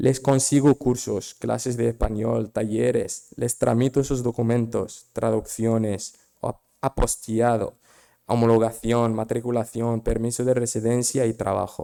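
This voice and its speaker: A man speaks at a fairly slow pace in a medium pitch, his dark, mellow tone held to a monotone, flat intonation. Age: 20s. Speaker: migrant volunteer. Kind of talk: personal testimony. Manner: halting.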